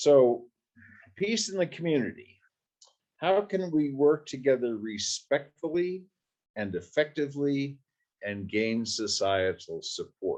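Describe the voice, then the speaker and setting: A man speaks at a fairly slow pace in a fairly high pitch, with very wide pitch swings and long, frequent pauses. The background is quiet. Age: 70s. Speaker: conference session chair. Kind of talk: conference panel moderation.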